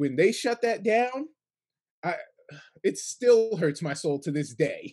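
A man with an American accent speaks in a high voice, his pitch swinging very widely. He talks very slowly with long, frequent pauses against a quiet background. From New York State, Kingston. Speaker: sports podcast host. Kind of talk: casual chat.

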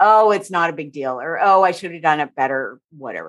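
Against a quiet background, a woman talks fairly quickly in a plain, everyday voice, fairly low in pitch, with ordinary pitch variation. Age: 50s. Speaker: therapist. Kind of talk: casual chat.

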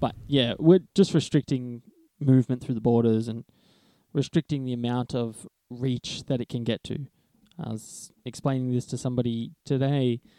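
In a dry, close recording with no echo, a man with an Australian accent speaks at a moderate pace and medium pitch, keeping his intonation fairly even. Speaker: podcast co-host, Chinese medicine graduate. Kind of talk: casual chat.

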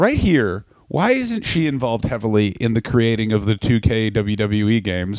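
Here is a man with an ordinary speaking voice at a medium pitch, showing ordinary pitch variation. The recording is very clean, with a silent background. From Canada. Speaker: comedian. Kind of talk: casual chat.

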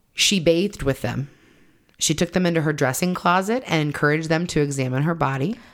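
Her voice is very deep and low, with very even loudness. The woman leaves long, frequent pauses in a very clean recording with a silent background. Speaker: podcast host. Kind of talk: true-crime narration, telling the case story to co-hosts. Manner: storytelling, conversational; earnest, apologetic.

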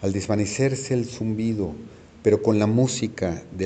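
Pitch varies in an ordinary way through an unforced reading voice.

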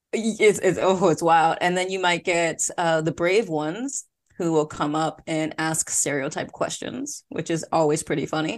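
With an American accent and a normal speaking voice, a woman talks at a moderate pace with hardly any pauses, her pitch fairly low and its variation ordinary, over a quiet background. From Philadelphia, US. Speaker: podcast host, former teacher in Korea. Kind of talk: casual interview chat.

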